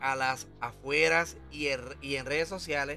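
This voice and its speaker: Someone speaks with a Puerto Rican accent. Music plays in the background. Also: man. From Puerto Rico. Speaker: online commentator. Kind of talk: casual talk to camera, entertainment news commentary.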